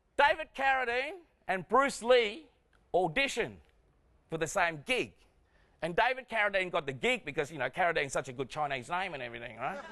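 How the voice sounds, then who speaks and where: A man's high-pitched voice in an Australian accent, bright and sharp in tone, with very wide pitch swings, a fairly quick pace and long, frequent pauses. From Vietnam, raised in Australia from 1975. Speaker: stand-up comedian. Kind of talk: stand-up. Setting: stage with audience. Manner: animated.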